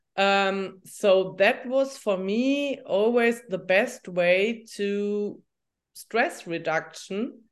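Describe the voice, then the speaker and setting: In a German accent, a woman speaks at a very slow pace with a medium pitch and ordinary pitch variation. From Germany. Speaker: journalist and coach. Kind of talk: interview. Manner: halting.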